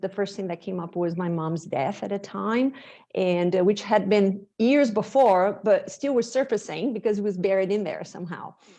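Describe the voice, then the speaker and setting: With a Portuguese accent, a woman speaks at a moderate pace and medium pitch in a dark, mellow tone, with ordinary pitch variation, hardly any pauses and a quiet background. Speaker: bodywork practitioner, former medical interpreter. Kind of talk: interview.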